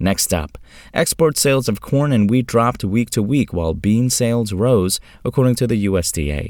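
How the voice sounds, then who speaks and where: On a very clean recording with a silent background, a man with a plain, everyday voice speaks at medium pitch and a moderate pace, his intonation lively. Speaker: farm news presenter. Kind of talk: news reading, scripted market and weather report. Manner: steady, formal, even-paced delivery.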